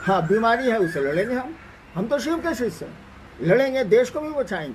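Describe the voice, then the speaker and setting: This man's voice sits at an extremely high pitch. It swings up and down very widely. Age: 70s. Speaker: spiritual teacher. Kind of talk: spiritual discourse answering a question.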